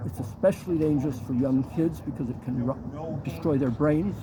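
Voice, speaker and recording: At a moderate pace and medium pitch, a man speaks with lively intonation against noticeable background noise. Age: 70s. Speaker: community activist. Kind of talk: interview. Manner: halting.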